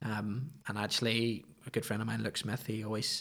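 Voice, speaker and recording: His intonation stays fairly even, with vocal fry running through it. The speaker is a man with a Northern Irish accent. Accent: Northern Irish (Ulster). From Northern Ireland, County Antrim (Ballymoney). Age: 20s. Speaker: podcast guest, former barista and wedding photographer. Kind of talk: casual chat.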